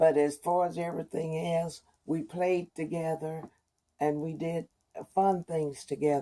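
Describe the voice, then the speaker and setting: On a very clean recording with a silent background, a woman speaks slowly-ish in a fairly low, dark, mellow voice at a fairly slow pace. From East Texas, rural. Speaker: oral history interviewee. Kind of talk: oral history interview.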